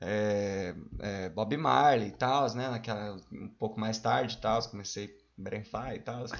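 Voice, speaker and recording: Speaking at a very slow pace, a man lets vocal fry run through his voice. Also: fairly low pitch for a man, ordinary pitch variation. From Paraná, Brazil (Mandaguaçu area). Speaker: cook and rapper. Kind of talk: casual chat.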